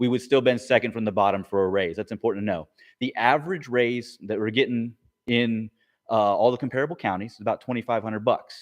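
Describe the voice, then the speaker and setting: At a fairly quick pace, a man with a plain, everyday voice speaks at medium pitch with ordinary pitch variation on a very clean recording with a silent background. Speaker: teachers' union bargaining team member. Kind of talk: meeting briefing.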